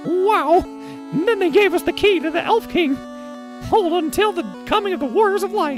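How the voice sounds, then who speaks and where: A put-on character voice at a moderate pace over loud music in the background. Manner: comedic, exaggerated.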